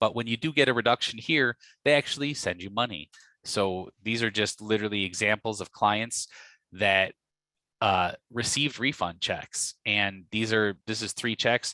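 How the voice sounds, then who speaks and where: Over a quiet background, a man with an American accent talks at a moderate pace in a fairly low pitch with ordinary variation. His tone is bright and sharp, and the sound is dry and close with no echo. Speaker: property tax lawyer. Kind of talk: webinar presentation.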